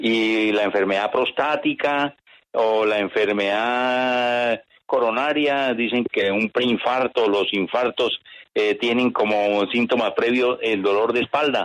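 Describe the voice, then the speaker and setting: With very even loudness and fairly even intonation, a man at a medium pitch talks at a very slow pace. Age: 60s. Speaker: radio caller. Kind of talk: call-in question. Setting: phone call. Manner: formal.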